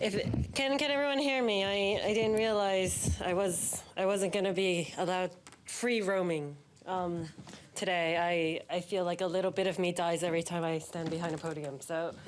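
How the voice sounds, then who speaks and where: In a room with audible echo, a woman speaks with a New York accent and very even loudness. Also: medium pitch for a woman, ordinary pitch variation, moderate pace. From New York City, Manhattan. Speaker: banking executive, keynote speaker. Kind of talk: keynote speech. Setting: stage with audience, behind a podium. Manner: casual, humorous.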